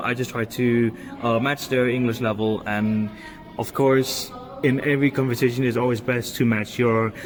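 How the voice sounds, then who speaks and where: Over noticeable background noise, a man speaks in a medium pitch. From Denmark. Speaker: university student. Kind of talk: class podcast discussion. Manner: hesitant with fillers.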